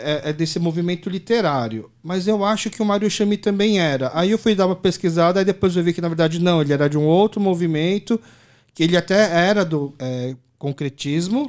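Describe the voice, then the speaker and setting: A man with a high pitch talks at a fairly quick pace, and his pitch varies in an ordinary way. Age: 30s. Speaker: podcast host. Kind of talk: casual interview conversation.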